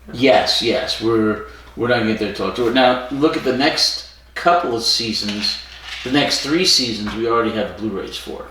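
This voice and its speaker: There is noticeable background noise and audible room echo as a man speaks at a moderate pace, with a medium pitch and ordinary pitch variation. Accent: American. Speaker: podcast co-host. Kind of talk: casual chat. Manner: projects voice, stage presence.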